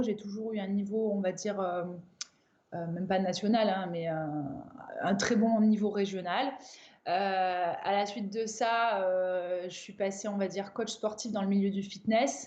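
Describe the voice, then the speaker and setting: In a room with audible echo, a woman with a dark, mellow tone talks at a medium pitch and moderate pace, her intonation fairly even. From southern France, Avignon. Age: 30s. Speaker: crossfit coach and athlete. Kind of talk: interview.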